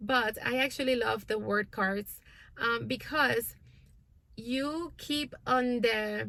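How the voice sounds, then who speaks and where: A woman's bright, sharp voice, fairly high in pitch with ordinary pitch variation, at a very slow pace in a very clean recording with a silent background. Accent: non-native. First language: not English. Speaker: homeschooling parent and channel host. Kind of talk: casual vlog update. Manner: hesitant, many fillers.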